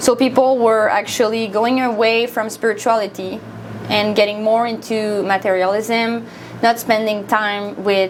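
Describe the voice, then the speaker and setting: The speaker has a French Canadian accent and a monotone, flat intonation. The pace is fairly slow, with noticeable background noise. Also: woman. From Quebec, Montreal. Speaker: volunteer minister. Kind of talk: studio interview. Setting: studio.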